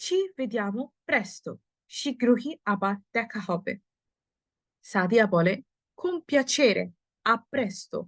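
A woman's voice swings very widely in pitch, with a dry, close sound and no echo. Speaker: Italian language teacher. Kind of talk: language lesson reading dialogue aloud.

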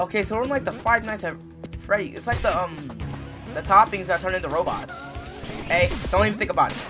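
A man races through his words very fast while music sounds behind him. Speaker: gamer. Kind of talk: gameplay commentary.

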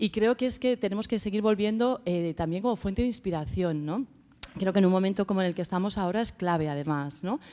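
A woman's medium-pitched, dark and mellow voice at a very fast pace, very even in loudness, with ordinary pitch variation. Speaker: panel respondent. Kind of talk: conference discussion. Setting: stage with audience. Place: hall. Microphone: podium.

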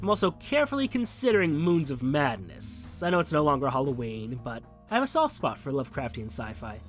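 Music plays in the background as a man talks at a fairly quick pace. He barely pauses. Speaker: gaming channel host. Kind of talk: casual talk to camera. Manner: rambling.

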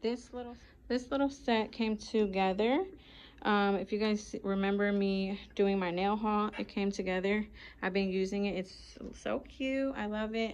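The speaker is a woman with fairly even intonation. Her pace is moderate. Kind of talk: casual vlog chat. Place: shop. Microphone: phone near.

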